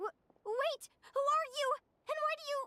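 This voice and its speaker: In a put-on character voice, a female-sounding speaker talks at a moderate pace with an extremely high, squeaky pitch. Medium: video game. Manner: excitable, fast.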